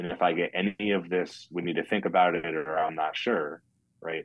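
A man speaks with a low pitch and fairly even intonation.

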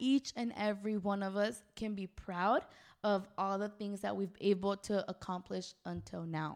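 This woman has an ordinary speaking voice at a medium pitch, talking at a fairly slow pace with fairly even intonation. The recording is very clean, with a silent background. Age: 20s. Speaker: podcast co-host. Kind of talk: casual chat.

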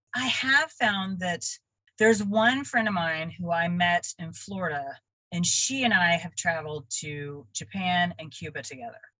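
Bright and sharp in tone, a woman with an American accent and a fairly low pitch uses lively intonation and big swings in loudness. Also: moderate pace. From Texas (Dallas-Fort Worth). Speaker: artist and traveling art teacher. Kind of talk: interview.

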